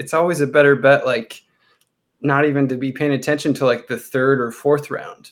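Fairly high in pitch, a man speaks with a Californian accent and fairly even intonation. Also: moderate pace. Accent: General American (Californian). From Southern California, Chino Hills. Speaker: theme park worker and sports fan. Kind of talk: casual chat.

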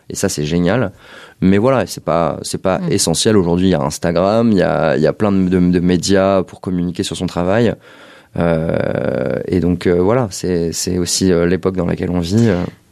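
At a moderate pace, a man talks with a very deep, low pitch and ordinary pitch variation over noticeable background noise. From Paris. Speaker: visual artist. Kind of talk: interview conversation. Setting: artist studio.

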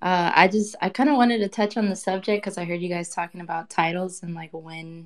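Her pitch fairly low, a woman with an unremarkable speaking voice talks with ordinary pitch variation. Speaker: digital artist. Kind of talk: casual chat. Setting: audio chat room.

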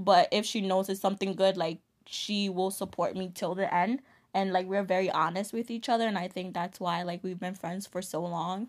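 A woman speaks in a New York accent at a medium pitch and moderate pace. Her intonation is fairly even, and the recording is very clean with a silent background. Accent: New York American. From Ghana-born, grew up in the Bronx, New York. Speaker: podcast co-host. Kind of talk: casual chat.

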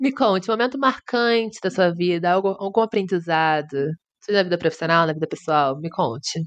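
A woman has a plain, everyday voice. Her intonation is lively. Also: medium pitch for a woman, moderate pace. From Brazil, Rio de Janeiro. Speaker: podcast co-host. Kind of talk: casual chat. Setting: virtual call.

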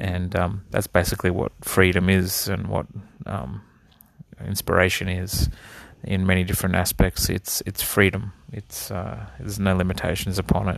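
A man's very deep, low voice with vocal fry, in an Australian accent, at a moderate pace with ordinary pitch variation. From Australia (east coast), early years in the Netherlands. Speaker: podcast host, drummer. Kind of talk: solo monologue. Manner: hesitant, many fillers.

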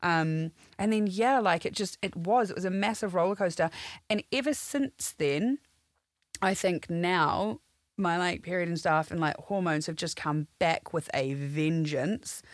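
In a very clean recording with a silent background, a woman speaks with a New Zealand accent. Her fairly low voice moves at a fairly slow pace with lively intonation. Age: 30s. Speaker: complaint specialist. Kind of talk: casual chat.

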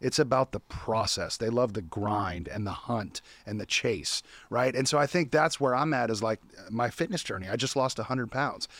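On a very clean recording with a silent background, a man with an American accent talks at a moderate pace, medium in pitch with ordinary pitch variation. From US West Coast, California. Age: 30s. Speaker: business owner, CEO. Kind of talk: casual interview chat.

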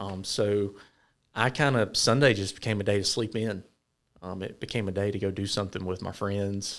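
Speaking at a moderate pace with fairly even intonation, a man with a Southern US accent and a fairly low voice is heard on a very clean recording with a silent background. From US South, Georgia. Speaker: church member sharing testimony. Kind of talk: testimony.

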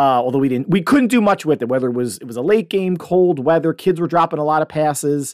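A man with an animated tone and very wide pitch swings at a fairly quick pace, in a very clean recording with a silent background. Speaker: podcast host and youth football coach. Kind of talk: solo sports podcast monologue.

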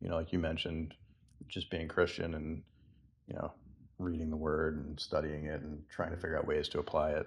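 A man speaks with an American accent at a moderate pace. His delivery has long, frequent pauses. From Massachusetts. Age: 40s. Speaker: book group member. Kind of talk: casual book discussion.

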